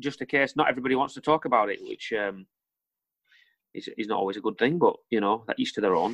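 A man with a Lancashire accent talks at a very fast pace, his pitch varying in an ordinary way. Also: medium pitch for a man. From northern England, Lancaster. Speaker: rock band frontman. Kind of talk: casual chat.

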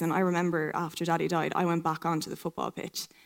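Speaking fairly quickly in a monotone, flat intonation, a woman with a fairly low pitch has an Irish accent. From County Kildare, Ireland. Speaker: pageant contestant. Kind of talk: live stage interview.

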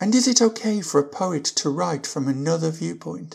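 On a very clean recording with a silent background, a woman speaks at a fairly slow pace and a fairly low pitch, with vocal fry. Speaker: podcast host. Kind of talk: interview, scripted intro.

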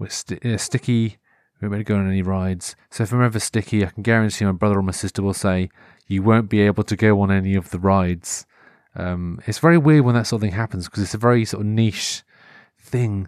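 Speaking very fast with a Norfolk accent, a man keeps a fairly low pitch and fairly even intonation in a very clean recording with a silent background and a dry, close sound with no echo. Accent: Norfolk English, moderate. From Norfolk, England. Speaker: podcast host. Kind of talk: casual solo monologue. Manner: rambling, informal, hesitant with fillers.

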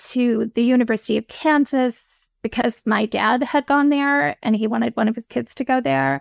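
Recorded with a dry, close sound, no echo and a silent background in a very clean recording, a woman with a Midwestern American accent speaks at a high pitch and moderate pace, with ordinary pitch variation and hardly any pauses. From Michigan, US Midwest. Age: 50s. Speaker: novelist. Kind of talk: interview.

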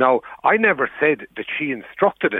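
With an Irish accent, a man talks using very wide pitch swings. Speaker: journalist. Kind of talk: radio interview.

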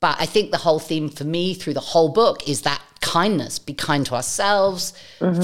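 Hers is a normal speaking voice, with a fairly low pitch for a woman, a moderate pace, and ordinary pitch variation. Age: 40s. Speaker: podcast host. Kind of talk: casual interview.

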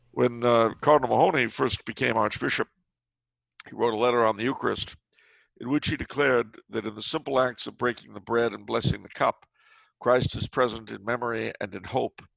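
A man with a medium-pitched voice and vocal fry talks at a fairly quick pace, with ordinary pitch variation and big swings in loudness, in a dry, close recording with no echo and a quiet background. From Los Angeles, US. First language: French. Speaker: author and historian. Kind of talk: casual interview conversation. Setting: remote call. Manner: chatty, humorous.

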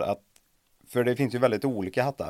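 This is a normal speaking voice with lively intonation. The sound is dry and close, with no echo. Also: man. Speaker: podcast host. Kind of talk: interview.

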